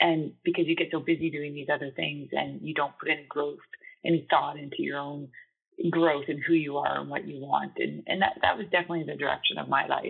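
A woman with a Canadian accent talks at a fairly quick pace, with big swings in loudness. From Canada. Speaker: air traffic controller and nonprofit founder. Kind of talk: interview. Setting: podcast interview.

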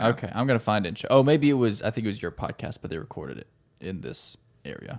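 On a very clean recording with a silent background, a man at medium pitch talks at a very fast pace with lively intonation and vocal fry. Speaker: pharmacist podcast co-host. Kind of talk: casual interview. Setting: studio.

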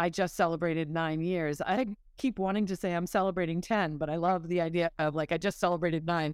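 A woman with a plain, everyday voice and an American accent talks at a fairly quick pace in a fairly low pitch, on a very clean recording with a silent background. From US Northeast, Massachusetts. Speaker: person in recovery. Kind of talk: interview.

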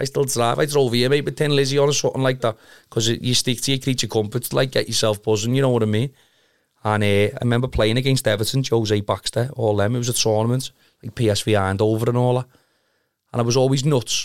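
In a very clean recording with a silent background, a man with a Liverpool accent speaks very fast at a medium pitch with fairly even intonation. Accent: Scouse. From Liverpool (Kirkby), England. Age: 30s. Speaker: amateur football goalkeeper. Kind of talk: casual chat.

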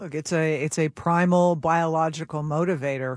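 Over a quiet background, a man talks at a fairly quick pace in an unremarkable speaking voice. His pitch is fairly high, with fairly even intonation. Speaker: panel expert. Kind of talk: panel discussion.

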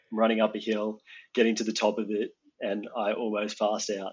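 The speaker has an Australian accent and a monotone, flat intonation. The pace is fairly quick. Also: man. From Australia, Geelong. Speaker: mapping industry professional. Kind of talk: casual chat.

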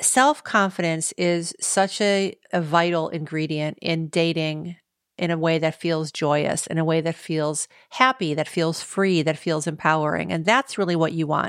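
At a fairly slow pace, a woman speaks in a normal speaking voice, fairly low with ordinary pitch variation, in a very clean recording with a silent background. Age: 50s. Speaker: dating podcast host. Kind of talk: solo podcast monologue.

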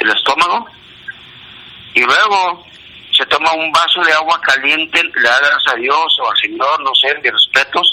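With noticeable background noise, a man speaks in a northern Mexican accent. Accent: Juárez border Spanish. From northern Mexico border, Ciudad Juárez. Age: 60s. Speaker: amateur barefoot runner. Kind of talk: phone monologue of health tips. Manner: fast.

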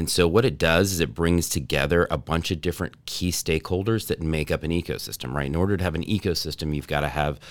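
With an American accent, a man speaks at a fairly quick pace in a very deep, low voice marked by vocal fry and ordinary pitch variation. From North Texas. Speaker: entrepreneur, startup accelerator director. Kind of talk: podcast interview.

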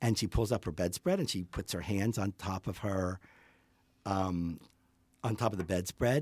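A somewhat breathy man with an American accent speaks at a moderate pace and fairly low pitch with ordinary pitch variation, on a very clean recording with a silent background. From US, Pittsburgh. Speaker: portrait photographer. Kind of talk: casual interview chat. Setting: in person, studio.

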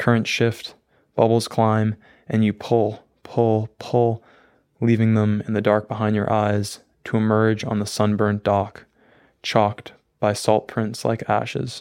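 In a very clean recording with a silent background, a man speaks at a fairly low pitch and a fairly slow pace. His intonation is monotone and flat, with long, frequent pauses. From Maine. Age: young. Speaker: student poet and filmmaker. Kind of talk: poetry reading; interview.

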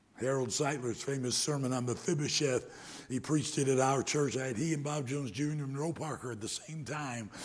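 A man with an American accent and an ordinary speaking voice, fairly high in pitch, at a fairly quick pace with fairly even intonation and hardly any pauses. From US Midwest, Detroit area. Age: 60s. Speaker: preacher. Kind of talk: sermon. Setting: church.

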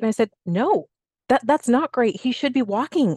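In a normal speaking voice, a woman talks at a fairly quick pace with ordinary pitch variation, the sound dry and close with no echo against a quiet background. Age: 50s. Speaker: fitness instructor and personal trainer. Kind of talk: casual chat.

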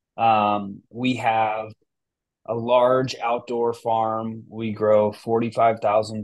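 A man with an American accent speaks at a medium pitch in a monotone, flat intonation over a quiet background. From US West Coast, San Francisco Bay Area. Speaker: cannabis business founder and CEO. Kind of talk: interview conversation.

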